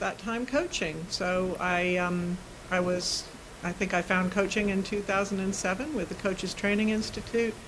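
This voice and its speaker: A woman with a normal speaking voice and an American accent, medium pitch, ordinary pitch variation and a moderate pace. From US, New York and California. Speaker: systemic coach and facilitator. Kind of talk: interview conversation.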